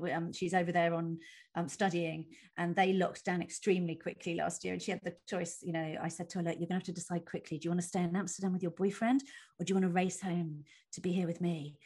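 Fairly low in pitch and somewhat breathy, a woman talks at a very fast pace with fairly even intonation. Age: 40s. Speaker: comedian. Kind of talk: casual chat. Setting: video call.

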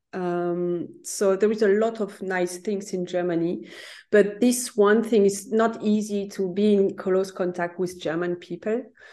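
The voice carries a French accent and a dark, mellow tone, with fairly even intonation. It moves at a fairly slow pace over a quiet background. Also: woman, medium pitch for a woman. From France. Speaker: career coach. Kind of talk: interview. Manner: halting.

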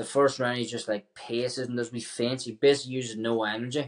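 A man speaks fairly quickly with a Northern Irish accent. His voice sits at medium pitch with fairly even intonation. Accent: Northern Irish (Tyrone). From Ireland, County Tyrone. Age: 20s. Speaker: professional MMA fighter. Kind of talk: casual interview.

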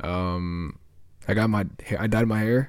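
A man's ordinary speaking voice, fairly low in pitch with ordinary pitch variation, in a very clean recording with a silent background. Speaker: podcast host and audio editor. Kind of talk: casual chat. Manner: casual, slangy.

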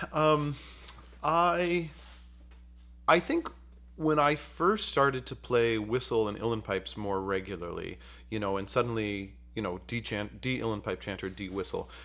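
Bright and sharp in tone, a man with an American accent talks at a medium pitch and moderate pace with lively intonation in a very clean recording with a silent background. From central New York, Utica. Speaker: bagpipe musician and instructor. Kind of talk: interview.

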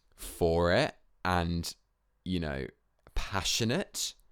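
In a southern English accent, a man speaks on a very clean recording with a silent background. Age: 20s. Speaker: podcast host, dancer and drag queen. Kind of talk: casual solo monologue. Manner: chatty, filler-heavy.

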